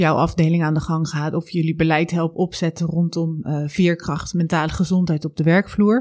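The recording is very clean, with a silent background and a dry, close sound with no echo. A woman speaks at a fairly low pitch in a dark, mellow tone. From South Holland, Netherlands (Zwijndrecht). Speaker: podcast host, coach and performance psychologist. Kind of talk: solo podcast monologue.

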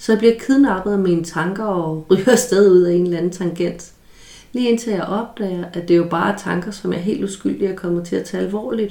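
Over noticeable background noise, a woman speaks fairly quickly at a medium pitch with ordinary pitch variation. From rural Denmark. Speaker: psychologist podcast host. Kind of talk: solo educational talk. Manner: halting with repetitions.

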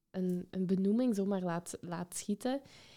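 Speaking in a Limburg accent, a woman has a medium pitch and a dark, mellow tone. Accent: Limburg Flemish. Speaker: podcast host and educator. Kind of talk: interview.

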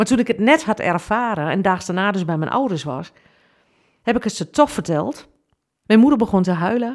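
Her pitch medium and her intonation lively, a woman speaks at a moderate pace. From Twente, eastern Netherlands. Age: 50s. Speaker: funeral officiant and podcaster. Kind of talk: personal testimony podcast.

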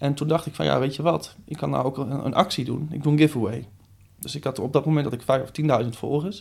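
A man's fairly high, vocal-fried voice at a very fast pace with ordinary pitch variation, on a very clean recording with a silent background. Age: 20s. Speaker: social media coach and trainer. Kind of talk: interview conversation.

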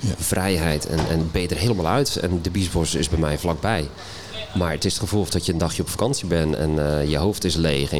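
A man with a very deep, low pitch talks at a fairly quick pace, with audible room echo and noticeable background noise. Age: 40s. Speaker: boating vlogger. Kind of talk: casual interview. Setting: live stage at boat show.

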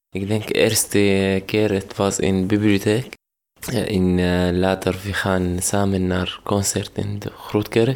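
A man with an Arabic accent speaks very slowly in a fairly low, monotone, flat voice. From Syria. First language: Arabic (speaking Dutch). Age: 20s. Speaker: refugee, music graduate. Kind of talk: interview testimony. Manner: halting.

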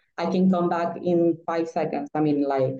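At a moderate pace, a woman with a Spanish accent speaks in a fairly low voice. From Nicaragua. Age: 30s. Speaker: former diplomat, market analyst. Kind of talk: interview conversation. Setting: remote call. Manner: halting.

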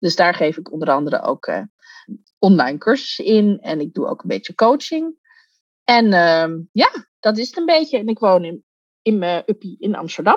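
Speaking at a moderate pace with long, frequent pauses, a woman uses a fairly high pitch and very wide pitch swings, recorded with a dry, close sound and no echo. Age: 40s. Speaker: coach. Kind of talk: interview.

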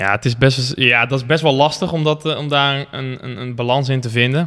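A plain, everyday voice: a man at medium pitch, ordinary pitch variation, moderate pace. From Netherlands, Gelderland (Barneveld-Lunteren). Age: 20s. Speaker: online fitness coach and entrepreneur. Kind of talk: casual interview. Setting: gym.

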